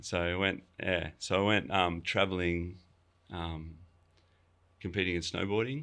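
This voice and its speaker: With an Australian accent, a man speaks fairly slowly in a very deep, low pitch and a bright, sharp tone on a very clean recording with a silent background. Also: ordinary pitch variation. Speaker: chef and restaurant owner. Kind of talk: casual interview chat. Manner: casual, many fillers and restarts.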